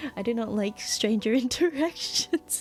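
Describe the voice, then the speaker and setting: Mumbling with lively intonation and an Australian accent, a woman speaks over music in the background. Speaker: vtuber streamer. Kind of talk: casual chat.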